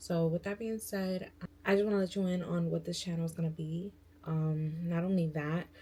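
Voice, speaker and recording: A woman with an American accent speaks at a fairly low pitch, somewhat breathy. Her tone is dark and mellow, and her intonation fairly even. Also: moderate pace. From New York. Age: 20s. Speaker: beauty and lifestyle vlogger. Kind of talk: casual vlog intro. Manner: casual, filler-heavy.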